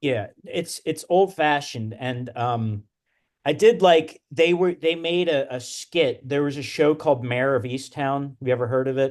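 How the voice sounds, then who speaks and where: A man with a strong Philadelphia accent, fairly high in pitch, at a fairly slow pace with ordinary pitch variation. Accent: thick Delco. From Wilmington, Delaware / Delco area. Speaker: podcast co-host. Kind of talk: casual chat.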